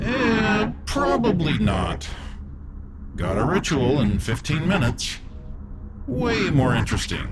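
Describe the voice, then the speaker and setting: A man speaks in a put-on character voice at a fairly slow pace, his pitch fairly high, over loud background noise. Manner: casual, drawling, menacing.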